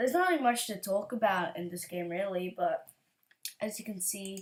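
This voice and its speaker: A woman speaks quietly. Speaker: gaming youtuber. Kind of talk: gameplay commentary. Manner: halting.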